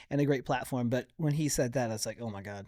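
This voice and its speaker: Captured in a very clean recording with a silent background, a man talks at a medium pitch. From Colorado, US. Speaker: podcast producer. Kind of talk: interview conversation. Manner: casual, animated.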